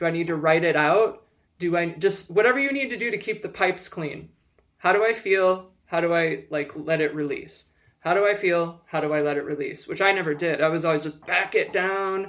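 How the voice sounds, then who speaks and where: In a normal speaking voice, a woman talks at a fairly quick pace and a fairly low pitch, with ordinary pitch variation. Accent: American. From Michigan. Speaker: publicist and executive coach. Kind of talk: casual chat.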